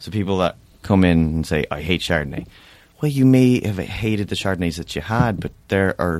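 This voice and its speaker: The speaker keeps a moderate pace in an Irish accent. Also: man. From Ireland. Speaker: sommelier and restaurant owner. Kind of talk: casual chat with wine tasting. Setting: studio.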